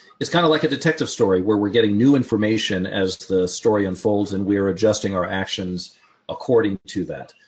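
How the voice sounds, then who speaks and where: A man in an unremarkable speaking voice talks at a fairly quick pace with ordinary pitch variation. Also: fairly low pitch for a man. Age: 60s. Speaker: trading educator. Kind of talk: casual chat.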